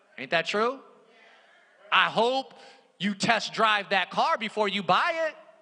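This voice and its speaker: A man uses a raised, projected voice at a high pitch, with an animated, playful tone and lively intonation. His pace is fairly slow, with long, frequent pauses. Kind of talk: sermon. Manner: animated, call-and-response preaching with rhythmic repetition and emphatic exhortation; playful, mixing humor and rhetorical questions with congregation.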